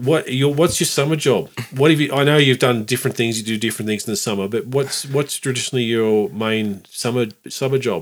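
A man's medium-pitched voice with an Australian accent, fairly quick pace and ordinary pitch variation. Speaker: podcast host. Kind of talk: casual chat. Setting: ski resort.

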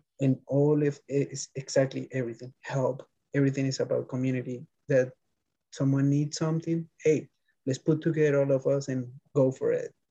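A man with a Spanish accent talks at a fairly quick pace in a fairly high pitch, somewhat breathy, with a dark, mellow tone and monotone, flat intonation. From Colombia, Bogota. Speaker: bike messenger. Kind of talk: interview.

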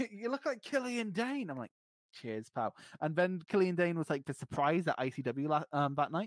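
Pitched high, a man talks at a moderate pace with very wide pitch swings. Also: dry, close sound with no echo. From Scotland. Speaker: podcast co-host, wrestling fan. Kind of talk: casual chat. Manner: halting.

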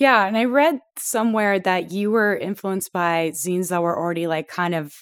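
A woman with a Canadian accent and an unremarkable speaking voice, at a moderate pace with ordinary pitch variation, on a very clean recording with a silent background. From Toronto, Canada. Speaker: podcast host. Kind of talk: casual interview.

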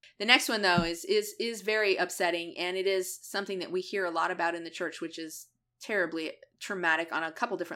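A woman at medium pitch and a very fast pace. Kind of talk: casual chat. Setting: Facebook Live video stream. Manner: loud, brash.

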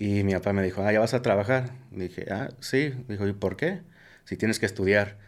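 At a moderate pace, a man speaks at fairly low pitch with ordinary pitch variation on a very clean recording with a silent background. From US Midwest, Omaha, Nebraska. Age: 30s. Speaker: cybersecurity engineer. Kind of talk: casual interview. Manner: halting.

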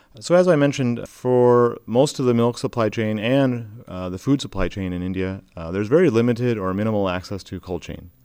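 A man with a Midwestern accent at a fairly quick pace, ordinary pitch variation, on a very clean recording with a silent background. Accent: American Midwest. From US Midwest, Michigan. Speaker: solar cold-chain company CEO. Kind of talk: interview.

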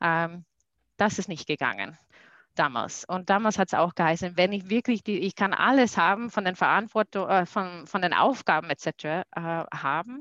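Against a quiet background, a woman with a medium pitch speaks at a moderate pace with lively intonation. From USA. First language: English (speaking German). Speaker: corporate sustainability manager. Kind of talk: interview. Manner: halting.

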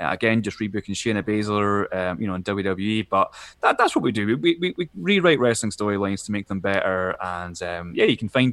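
A man with a Scottish accent, fairly low in pitch, at a fairly quick pace with hardly any pauses, in a dry, close sound with no echo over a quiet background. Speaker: wrestling podcast co-host, guest. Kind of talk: casual chat.

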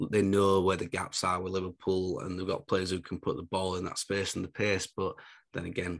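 With a northern English accent, the speaker goes at a fairly quick pace in a flat monotone against a quiet background. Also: man. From northern England. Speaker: fantasy football podcast co-host. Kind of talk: casual chat.

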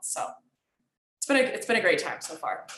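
Very fast and bright, sharp in tone, a woman speaks with an American accent. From Michigan, US. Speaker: professional soccer player. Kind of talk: interview.

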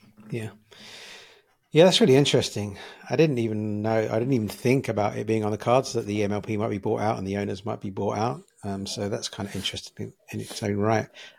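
A man with a British accent, fairly low in pitch, with ordinary pitch variation and a very fast pace. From United Kingdom. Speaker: podcast host. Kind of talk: casual interview. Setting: video call.

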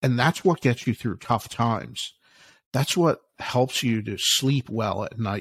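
On a very clean recording with a silent background and a dry, close sound with no echo, a man uses a normal speaking voice with a medium pitch, ordinary pitch variation and a fairly slow pace. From US Northeast, Philadelphia. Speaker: author and alternative investments expert. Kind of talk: interview.

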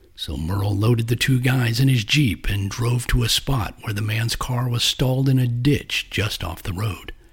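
Noticeable background noise under a man's dramatic tone, medium pitch, ordinary pitch variation and moderate pace. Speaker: podcast host and narrator. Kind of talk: scripted true-crime style narration of a cryptid legend. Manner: measured, dramatic, storytelling delivery; formal and suspenseful.

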